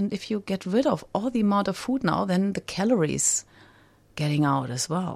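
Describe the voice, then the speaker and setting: A woman speaks at a moderate pace in a medium pitch, her voice swinging very widely up and down. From Germany. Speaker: recovering compulsive overeater, fellowship member. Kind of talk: personal recovery testimony. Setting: radio studio. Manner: halting, many fillers.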